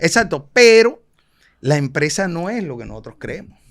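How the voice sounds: A man with a Colombian Caribbean accent speaks at a fairly high pitch and moderate pace, with big pitch swings. The recording is very clean, with a silent background. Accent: Colombian Caribbean coastal Spanish.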